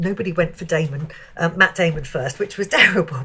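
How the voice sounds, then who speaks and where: Speaking at a fairly quick pace, a woman talks with a British accent. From England. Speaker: motorsport TV reporter. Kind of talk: casual interview. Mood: amused, warm storytelling.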